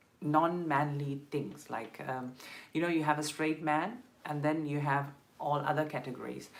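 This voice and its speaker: Speaking with a Tamil accent, a woman with a very deep, low voice talks at a moderate pace in a room with audible echo. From South India (Madurai, Tamil Nadu). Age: 20s. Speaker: LGBTQ rights activist and vlogger. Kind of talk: personal testimony on a live stream. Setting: live stream. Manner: hesitant, many fillers.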